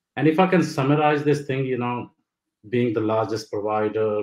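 A man speaks at a moderate pace with ordinary pitch variation. There is audible room echo over a quiet background. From India. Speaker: dentist and practice owner. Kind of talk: webinar discussion. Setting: online webinar. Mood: enthusiastic, reflective. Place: home room. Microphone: video call.

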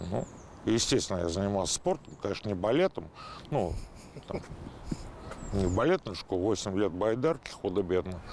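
Against light background noise, the voice moves at a moderate pace with ordinary pitch variation, long, frequent pauses and a dry sound with no echo. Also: man, fairly low pitch for a man. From Moscow, Oktyabrskoye Pole; Moscow. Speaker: football fan veteran. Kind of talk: casual storytelling interview. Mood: relaxed, wry. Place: street. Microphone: lapel.

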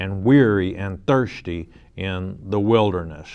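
A man's very deep, low voice at a very slow pace, with ordinary pitch variation. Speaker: pastor. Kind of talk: sermon. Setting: studio. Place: studio.

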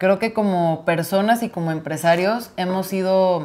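A woman with a fairly low pitch speaks at a moderate pace. Her intonation stays fairly even. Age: 30s. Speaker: podcast co-host, florist; podcast co-host. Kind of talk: casual chat. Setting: home. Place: home room. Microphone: lapel.

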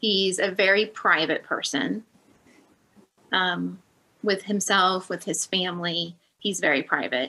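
Her medium-pitched voice has a bright, sharp tone, moving at a fairly slow pace with long, frequent pauses. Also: ordinary pitch variation. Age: 40s. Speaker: niece of a religious leader, former Jehovah's Witness family member; Witness. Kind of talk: interview. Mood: serious, reflective. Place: home room. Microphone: video call.

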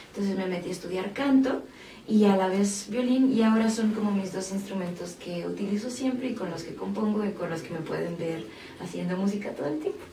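There is noticeable background noise behind this woman. She speaks at a medium pitch with ordinary pitch variation. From Mexico City. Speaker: singer-songwriter and violinist. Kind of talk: interview. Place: studio.

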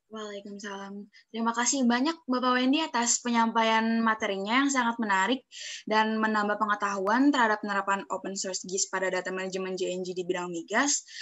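In a plain, everyday voice, a woman talks at a fairly quick pace and a fairly high pitch, with ordinary pitch variation against a quiet background. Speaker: webinar moderator. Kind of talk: formal moderating. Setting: video call. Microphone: video call.

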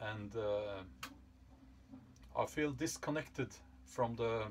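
A man speaks at a very slow pace. His pitch variation is ordinary.

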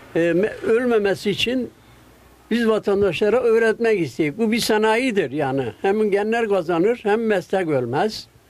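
A high-pitched man's voice with very even loudness and ordinary pitch variation. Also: fairly slow pace. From Gaziantep, Turkey. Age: 80s+. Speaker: kilim weaver. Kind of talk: interview answer. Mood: earnest, concerned for craft. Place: workshop. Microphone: handheld.

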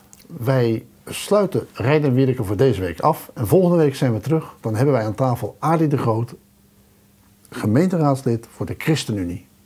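A man speaks at a moderate pace with lively intonation. His tone is dark and mellow, and somewhat breathy. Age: middle-aged. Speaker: local TV talk show host. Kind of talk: casual interview; scripted show outro. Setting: studio. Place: studio.

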